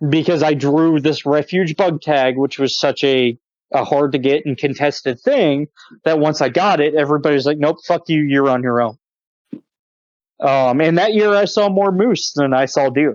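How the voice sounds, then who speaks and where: Heard with a dry, close sound and no echo, a man with an unremarkable speaking voice talks at a moderate pace in a fairly high pitch, with ordinary pitch variation and very even loudness. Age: 30s. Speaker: hunter and gun enthusiast podcast guest. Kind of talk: casual chat.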